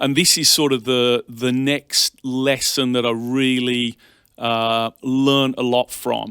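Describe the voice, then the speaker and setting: A man with an English accent and a medium-pitched, bright, sharp tone, fairly even intonation, dry, close sound with no echo, and a very clean recording with a silent background. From England, Birmingham. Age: 40s. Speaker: bank executive. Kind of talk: interview.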